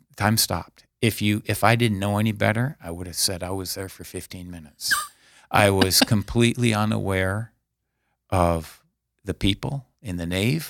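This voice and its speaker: A man with a fairly low pitch talks at a moderate pace with ordinary pitch variation and an ordinary speaking voice. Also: big swings in loudness. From US Midwest, South Dakota (Aberdeen). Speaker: deacon. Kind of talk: interview, personal testimony.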